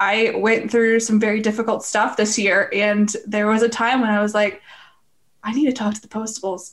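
A woman talks at a fairly quick pace in a fairly high voice. Her loudness swings widely. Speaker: podcast co-host. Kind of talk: casual chat, personal storytelling. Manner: animated, laughs often.

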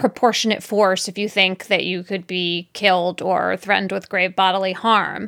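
A woman with a bright, sharp tone speaks at a fairly slow pace in a very clean recording with a silent background. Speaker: journalist and law lecturer. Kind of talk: casual chat.

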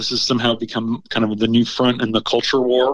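A man with medium pitch and an unremarkable speaking voice. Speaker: political correspondent. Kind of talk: interview.

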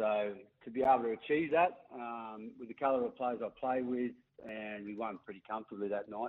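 Here a man speaks with an Australian accent. His pace is fairly quick. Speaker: former rugby league player. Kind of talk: radio interview.

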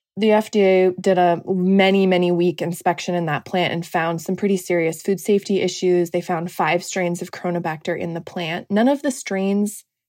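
A woman with an American accent talks in a normal speaking voice at a medium pitch and a moderate pace. Her intonation is fairly even, and the recording is very clean with a silent background. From US Pacific Northwest, Washington State. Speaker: journalist. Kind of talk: interview.

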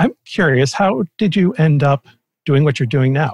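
A man's somewhat breathy voice at a fairly quick pace, lively in intonation, dry and close with no echo, on a very clean recording with a silent background. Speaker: policy researcher, co-host.

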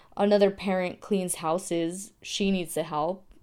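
A woman with an ordinary speaking voice, medium pitch and ordinary pitch variation at a moderate pace, on a very clean recording with a silent background. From Tucson, Arizona. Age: 20s. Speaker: journalism student. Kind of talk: scripted narration.

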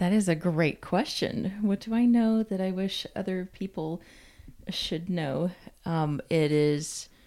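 At a very slow pace, a woman speaks with a medium pitch, ordinary pitch variation and a dark, mellow tone in a very clean recording with a silent background. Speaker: burlesque dancer, wife of the other guest. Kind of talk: interview conversation.

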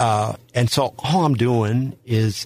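With an American accent, a man speaks in a somewhat breathy voice with ordinary pitch variation. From St. Louis, Missouri. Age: 60s. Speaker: political candidate. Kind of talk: interview. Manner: halting, many fillers.

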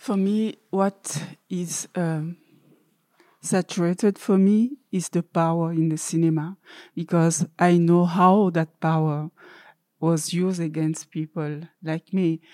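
A woman's fairly low, dark, mellow voice with an African accent, very slow and fairly even, full of long, frequent pauses, in a dry, close sound with no echo. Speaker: filmmaker. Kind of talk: panel discussion. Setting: stage with audience.

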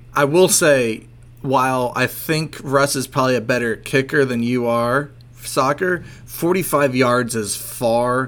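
Fairly slow and with an American accent, a man talks in an unremarkable speaking voice with ordinary pitch variation. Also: medium pitch for a man. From Ohio. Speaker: sports betting podcast co-host. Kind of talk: casual chat.

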